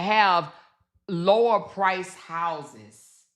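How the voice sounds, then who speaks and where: Against a quiet background, a woman speaks loudly in a bright, sharp tone that sounds animated. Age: 50s. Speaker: YouTube commentary host. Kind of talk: casual commentary livestream.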